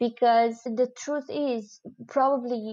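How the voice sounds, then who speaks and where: A woman with a Romanian accent speaks at a high pitch in a dark, mellow tone. Her intonation is monotone and flat. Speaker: expat content creator and writer. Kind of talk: casual interview chat. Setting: video call.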